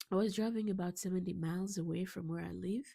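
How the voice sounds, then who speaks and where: Her intonation stays fairly even. The woman's voice is somewhat breathy. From Africa. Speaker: pastor. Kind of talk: personal story vlog. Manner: hesitant, many fillers.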